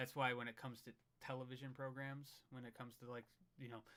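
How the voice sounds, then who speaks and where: A man with a Midwestern US accent rattles along at a very fast pace in a bright, sharp tone, holding a medium pitch with monotone, flat intonation. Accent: American Midwest accent, lasting. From US Midwest, Michigan. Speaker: paranormal YouTuber. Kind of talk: casual chat on livestream.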